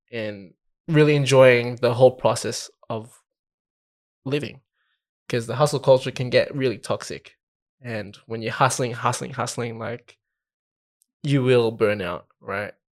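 Recorded very cleanly against a silent background, a man with an Australian accent speaks at a fairly slow pace and a medium pitch, with fairly even intonation, big swings in loudness and long, frequent pauses. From Australia, Filipino background. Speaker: podcast co-host. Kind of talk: casual chat.

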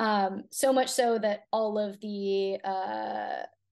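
Over a quiet background, an unremarkable speaking voice moves with ordinary pitch variation. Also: woman. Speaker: fitness coach. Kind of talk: interview.

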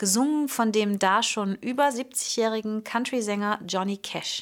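In a very clean recording with a silent background, a woman speaks at a fairly slow pace. Her pitch is fairly high, with ordinary pitch variation. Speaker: vocal coach and singer. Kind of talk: solo podcast monologue on singing.

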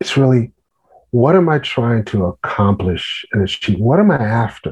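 The man's voice is somewhat breathy. His pitch moves in an ordinary range. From New York. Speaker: pastor and author. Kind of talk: interview.

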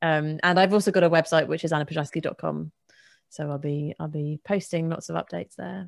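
A woman with a southern English accent talks fairly quickly in a very deep, low, monotone, flat voice. The recording is very clean with a silent background, dry and close with no echo. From England, Bedford. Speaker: materials scientist and science writer. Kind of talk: casual interview.

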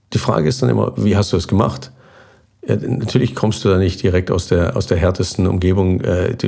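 This man's voice sits very deep and low, moving at a fairly quick pace. Noticeable background noise runs underneath. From southern Germany, near Basel on the Swiss border. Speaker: expedition sailor and former navy navigator. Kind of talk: interview.

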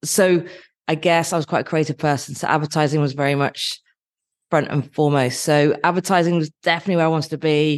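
A woman's very deep, low voice, very fast and monotone, against a quiet background. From Dorset, England. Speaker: advertising executive. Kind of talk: interview.

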